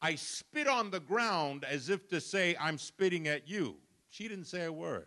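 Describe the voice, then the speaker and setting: A man with a New York accent and lively intonation. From Brooklyn, New York. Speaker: pastor. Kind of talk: sermon. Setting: church.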